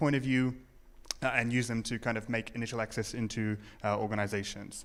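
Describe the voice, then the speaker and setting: Recorded very cleanly with a silent background, a man with a New Zealand accent talks at a medium pitch and a fairly quick pace. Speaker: conference speaker, security professional. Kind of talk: conference talk. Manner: hesitant, many fillers.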